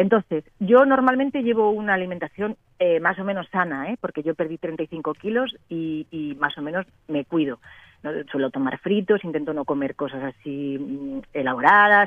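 A woman's fairly low voice with very wide pitch swings, at a moderate pace. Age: 50s. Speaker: radio caller. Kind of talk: phone-in question.

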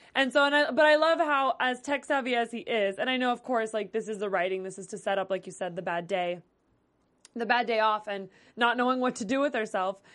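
An ordinary speaking voice moves at a fairly quick pace with lively intonation over a quiet background. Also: woman, fairly high pitch for a woman. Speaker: TV after-show host. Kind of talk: casual chat. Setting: studio.

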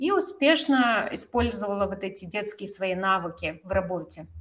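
This woman has a plain, everyday voice at medium pitch. She talks at a moderate pace with ordinary pitch variation. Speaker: yoga teacher and podcast host. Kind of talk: casual chat.

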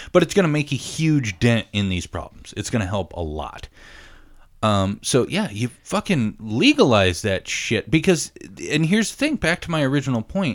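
A man talks at a moderate pace with vocal fry. His tone is animated, and his pitch swings very widely. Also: medium pitch for a man, very clean recording, silent background. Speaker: podcast host. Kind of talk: casual chat.

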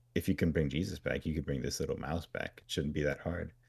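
A man's very deep, low voice with vocal fry on a very clean recording with a silent background. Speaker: podcast co-host. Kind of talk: casual podcast chat, retelling a TV episode. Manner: animated, jokey retelling with voiced characters.

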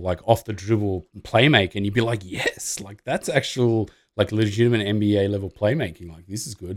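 On a very clean recording with a silent background, a man with an Australian accent speaks at a moderate pace in a fairly low pitch with ordinary pitch variation. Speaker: basketball podcast host. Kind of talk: casual chat. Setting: live stream.

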